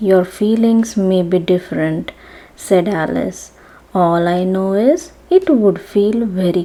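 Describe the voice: The clip is plain reading aloud, its pitch rising and falling in an ordinary way.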